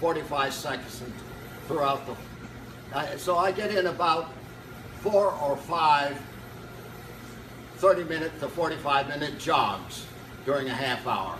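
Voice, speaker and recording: There is noticeable background noise and audible room echo as a man with a fairly high pitch talks at a fairly slow pace, with ordinary pitch variation and long, frequent pauses. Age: 90s. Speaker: fitness enthusiast retiree. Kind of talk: casual interview. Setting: gym fitness room. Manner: halting.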